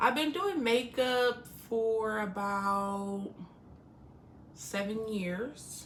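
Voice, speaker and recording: Over noticeable background noise and audible room echo, a woman talks very slowly in a fairly high voice, with ordinary pitch variation and long, frequent pauses. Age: 30s. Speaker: makeup artist. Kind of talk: casual chat.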